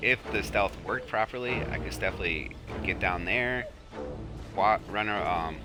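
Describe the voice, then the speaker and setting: A man is talking. Music can be heard behind him. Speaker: gamer and parent who makes sleep gameplay videos. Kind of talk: casual gameplay commentary. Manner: calm, relaxed, low-key.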